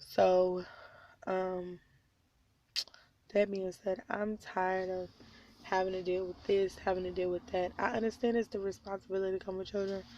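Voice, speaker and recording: A woman with an American accent speaks at a moderate pace in a medium-pitched, dark, mellow tone. Her intonation is monotone and flat, broken by long, frequent pauses. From Oklahoma (Tulsa). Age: 20s. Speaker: vlogger, stay-at-home mom. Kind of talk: personal vlog confession. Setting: in a car at night.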